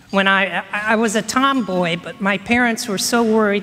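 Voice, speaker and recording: Noticeable background noise behind a woman's voice, medium in pitch, with fairly even intonation. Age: 60s. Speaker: speaker on local history. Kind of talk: conference talk. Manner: halting.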